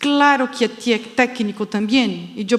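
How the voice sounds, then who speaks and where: A woman talks with a Brazilian accent at a high pitch. Noticeable background noise runs behind her. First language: Portuguese (speaking Spanish). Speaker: education expert, panel speaker. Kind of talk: conference talk. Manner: halting.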